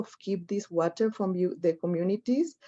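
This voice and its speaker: The voice has a dark, mellow tone and fairly even intonation, in a Spanish accent. The background is quiet. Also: woman. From Mexico. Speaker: activist, campaign coordinator. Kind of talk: panel presentation. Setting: webinar. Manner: halting.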